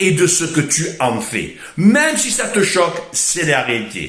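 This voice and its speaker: A man with a Marseille accent, animated tone and high pitch, at a fairly slow pace, with audible room echo and music in the background. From Marseille, southern France. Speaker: motivational speaker. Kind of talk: motivational monologue.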